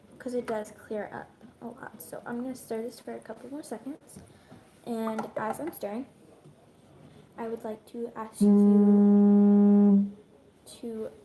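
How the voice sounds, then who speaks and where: A woman whispers at a fairly slow pace. Music plays in the background. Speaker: YouTuber. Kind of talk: cooking tutorial. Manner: casual, hesitant with ums; whispering.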